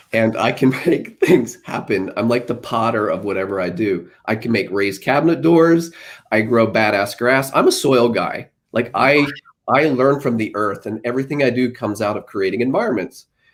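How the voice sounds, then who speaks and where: A man's medium-pitched voice at a moderate pace, with ordinary pitch variation, on a very clean recording with a silent background. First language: Pennsylvania Dutch. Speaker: business consultant and team leader. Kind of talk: casual chat.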